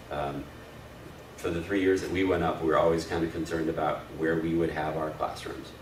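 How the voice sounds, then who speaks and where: Noticeable background noise and audible room echo fill the recording. A man with a very deep, low pitch talks at a fairly quick pace. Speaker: church volunteer trainer. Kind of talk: training session. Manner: loud; hesitant, many fillers.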